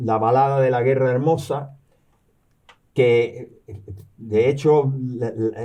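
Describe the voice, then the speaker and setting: A man's very slow, medium-pitched speech with a dark, mellow tone, fairly even intonation and audible room echo. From Cuba, raised there after birth in New York. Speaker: retired professor and novelist. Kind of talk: interview. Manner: halting, many repetitions and fillers.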